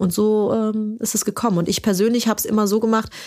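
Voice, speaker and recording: This woman speaks at a very fast pace, her fairly high pitch carried by fairly even intonation. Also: very clean recording, silent background. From Germany, Turkish immigrant family. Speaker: startup founder. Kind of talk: interview. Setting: studio.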